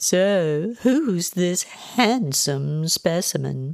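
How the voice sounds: Using a put-on character voice with vocal fry and lively intonation, someone speaks at a very slow pace in a very clean recording with a silent background. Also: woman, fairly low pitch for a woman.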